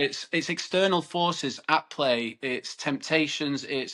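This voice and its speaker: Speaking at a very slow pace in a northern English accent, a man has a bright, sharp tone and ordinary pitch variation. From northern England, Cheshire. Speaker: podcast host. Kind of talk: interview conversation.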